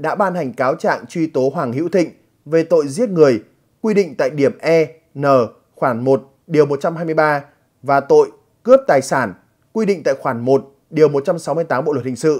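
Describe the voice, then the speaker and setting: The man has a plain, everyday voice at a fairly high pitch. He speaks at a fairly slow pace with lively intonation. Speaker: news presenter. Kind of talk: news reading. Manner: formal.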